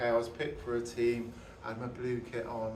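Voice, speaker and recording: A man speaks at a moderate pace and a medium pitch, with a southern English accent. Noticeable background noise and audible room echo come through on the recording. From southern England (Kent, then Somerset Mendips). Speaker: preacher. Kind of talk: sermon. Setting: church. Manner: halting, many fillers and restarts.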